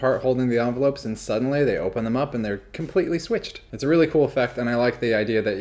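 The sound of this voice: Unforced reading, with pitch that shifts in an ordinary way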